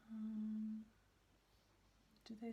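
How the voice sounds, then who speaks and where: Soft-spoken and somewhat breathy, a woman talks very slowly with a fairly high pitch and a dark, mellow tone. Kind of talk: ASMR page-turning show and tell.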